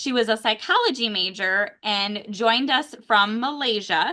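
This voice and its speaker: A woman's fairly high voice with ordinary pitch variation, an ordinary speaking voice. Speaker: university career development director. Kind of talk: interview host questions.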